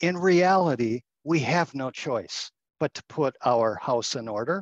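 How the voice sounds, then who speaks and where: Fairly high for a man and set at a fairly slow pace, this unremarkable speaking voice has lively intonation and a dry, close sound with no echo. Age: 60s. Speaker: communications agency partner, former foundation executive. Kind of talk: interview.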